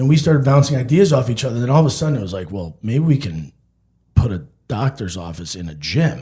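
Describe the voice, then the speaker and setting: A loud man at a medium pitch, animated, with very wide pitch swings. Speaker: physician. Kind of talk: casual chat.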